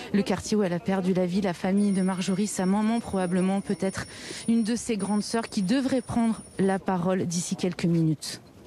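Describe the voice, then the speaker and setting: A woman at medium pitch and moderate pace, fairly even intonation, very even loudness, noticeable background noise. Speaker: field reporter. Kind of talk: live news report. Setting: outdoors at a memorial march. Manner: soft-spoken.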